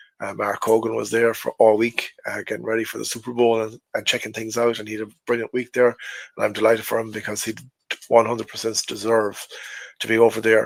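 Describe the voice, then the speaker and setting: In an Irish accent, a man talks at a fairly quick pace with a medium pitch and a monotone, flat intonation. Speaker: NFL fan podcaster. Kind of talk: casual talk to camera.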